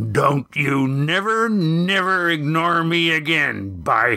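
Bellowing in a put-on character voice, a man speaks at a very slow pace with fairly high pitch, in a very clean recording with a silent background. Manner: growling, menacing.

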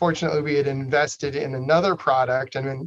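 A man with an American accent speaks very fast at a fairly high pitch, his intonation fairly even and the sound dry and close with no echo. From northern Idaho, Coeur d'Alene. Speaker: state senator and former business owner. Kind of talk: interview.

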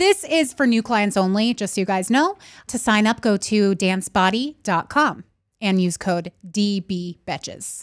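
In a dry, close sound with no echo and a very clean recording with a silent background, a woman with an unremarkable speaking voice talks at medium pitch and a moderate pace, with lively intonation. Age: 30s. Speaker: podcast co-host. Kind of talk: casual chat.

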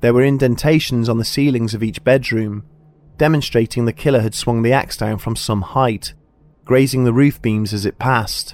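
A man's medium-pitched voice at a moderate pace, solemn in tone with fairly even intonation, and music in the background. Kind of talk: true-crime narration. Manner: measured, solemn, steady storytelling pace.

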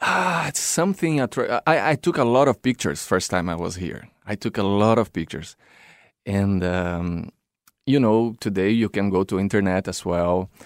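This very clean recording has a silent background and a dry, close sound with no echo. A man with a Brazilian accent speaks at a moderate pace in a fairly low pitch with lively intonation. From São Paulo, Brazil. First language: Portuguese. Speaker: circus performer, clown and drummer. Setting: studio.

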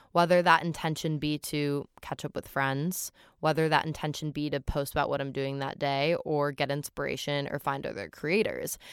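A woman with an American accent and a very deep, low pitch, fairly even intonation, moderate pace and hardly any pauses, in a dry, close, echo-free sound on a very clean recording with a silent background. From New York City. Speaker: advocate and nonprofit founder. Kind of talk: casual chat.

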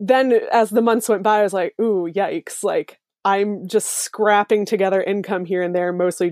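A woman with a plain, everyday voice speaks at medium pitch and a moderate pace, with hardly any pauses. The sound is dry and close with no echo, in a very clean recording with a silent background. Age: 20s. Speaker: zero waste blogger. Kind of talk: casual interview chat. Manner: chatty with fillers and laughs.

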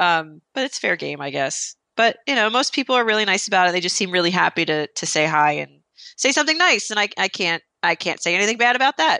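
A woman with an American accent talks at a very fast pace with hardly any pauses, her medium pitch swinging very widely. Her tone is bright and sharp, and the sound is dry and close, with no echo. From New Jersey. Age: 30s. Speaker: freelance writer and author. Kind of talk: interview.

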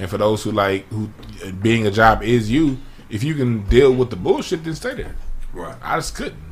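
Using an unremarkable speaking voice, a man with an American accent talks at medium pitch and a moderate pace, with ordinary pitch variation and big swings in loudness. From South Central Los Angeles. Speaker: former youth worker. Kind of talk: casual chat.

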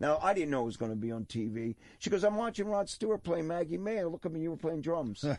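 Very fast, nearly pause-free speech in a Philadelphia accent, with very wide pitch swings. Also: man, high pitch for a man. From Philadelphia area, Levittown, Pennsylvania. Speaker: rock drummer. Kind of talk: casual chat. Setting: studio.

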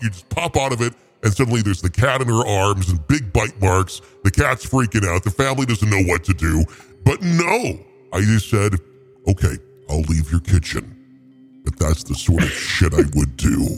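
At a moderate pace, the speaker performs in a put-on character voice. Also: man, fairly low pitch for a man.

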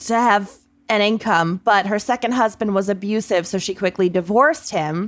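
Recorded very cleanly against a silent background, a woman with a plain, everyday voice speaks at a moderate pace, her fairly high pitch showing ordinary pitch variation. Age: 30s. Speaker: podcast co-host. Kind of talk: casual chat; storytelling.

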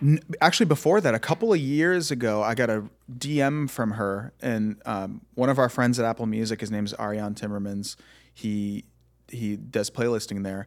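A man's ordinary speaking voice at a medium pitch, with ordinary pitch variation and a moderate pace, on a very clean recording with a silent background. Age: 30s. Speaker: musician. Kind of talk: casual chat.

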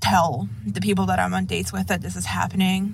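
A woman speaks over noticeable background noise. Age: 20s. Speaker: listener caller. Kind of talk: voicemail story.

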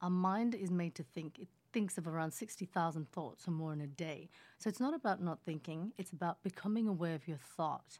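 On a very clean recording with a silent background, a woman with an Australian accent speaks in a calm tone at a fairly quick pace, her fairly low pitch showing ordinary variation. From Australia, Sydney; born in Indonesia. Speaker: hypnotherapist and meditation teacher. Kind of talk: casual interview. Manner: calm, laughs often.

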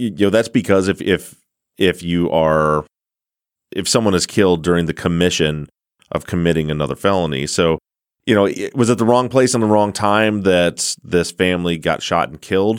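A man with a slight Midwestern accent speaks at a moderate pace in a very deep, low voice, his pitch varying in an ordinary way. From US Midwest. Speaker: podcast host. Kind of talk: casual interview chat.

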